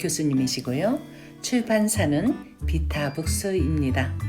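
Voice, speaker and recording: Music plays behind a woman who speaks very slowly. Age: 70s. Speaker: senior YouTuber. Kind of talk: book review narration.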